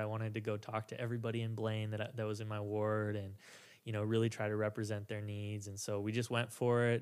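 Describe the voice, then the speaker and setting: Talking at a very fast pace, a man with an American accent keeps a medium pitch and a monotone, flat intonation. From Minnesota, North Minneapolis. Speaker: city councilman and former actor. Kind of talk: interview.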